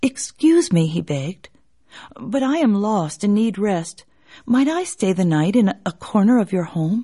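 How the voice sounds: Lively intonation in a natural reading voice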